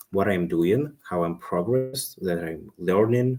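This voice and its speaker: A man with a fairly low pitch speaks with a non-native accent. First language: not English. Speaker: self-improvement live streamer. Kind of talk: casual live stream monologue. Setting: live stream. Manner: halting.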